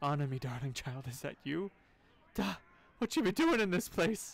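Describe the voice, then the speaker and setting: A man uses a put-on character voice that is croaky and high-pitched. He speaks at a moderate pace. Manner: croaking.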